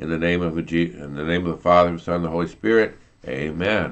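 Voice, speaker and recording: A man's very deep, low voice comes through over a quiet background. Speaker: church prayer leader. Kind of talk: live-streamed prayer service. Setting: online video stream. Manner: informal, somewhat flustered. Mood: calm, devotional. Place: home room. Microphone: video call.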